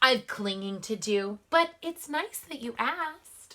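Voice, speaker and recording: In a put-on character voice, the speaker moves at a fairly slow pace, with very wide pitch swings and big swings in loudness. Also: woman, high pitch for a woman. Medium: read story. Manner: hesitant, stammering.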